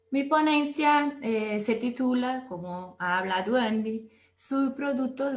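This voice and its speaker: Very slow speech with a Brazilian accent over noticeable background noise. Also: woman. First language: Portuguese (speaking Spanish). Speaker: food science researcher. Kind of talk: academic lecture. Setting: video call with screen sharing.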